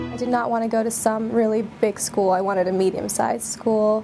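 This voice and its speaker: Fairly quick and fairly high, a woman's voice stays monotone and flat. Noticeable background noise is present. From India. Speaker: university undergraduate. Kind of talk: interview answer.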